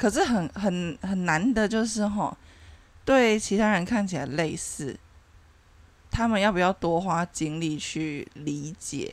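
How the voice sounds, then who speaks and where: A woman's very slow speech carries lively intonation. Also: medium pitch for a woman. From Taiwan. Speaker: podcast host. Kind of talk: casual chat.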